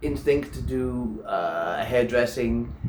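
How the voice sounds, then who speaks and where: Very slow speech from a man, noticeable background noise underneath. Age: 40s. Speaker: personal trainer and nutrition coach; preacher / lay sermon giver. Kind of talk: sermon / religious teaching to camera.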